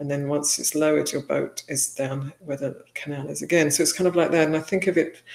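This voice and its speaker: The speaker has a Welsh accent. The pace is fairly quick. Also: woman. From Wales. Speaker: Buddhist nun. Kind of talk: interview. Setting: livestream. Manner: halting.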